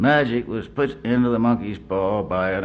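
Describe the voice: Someone reads the passage aloud plainly.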